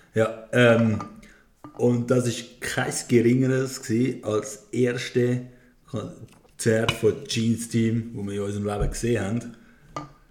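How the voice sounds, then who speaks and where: Over music in the background, a man at medium pitch speaks very slowly in a flat monotone. His loudness swings widely from moment to moment. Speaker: podcast host. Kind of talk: casual chat.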